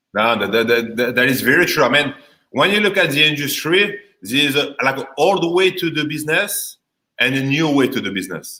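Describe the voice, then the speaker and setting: Bright and sharp in tone, a man's fairly high voice carries a strong French accent. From France. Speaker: insurance agent. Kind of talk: casual chat. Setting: live video stream.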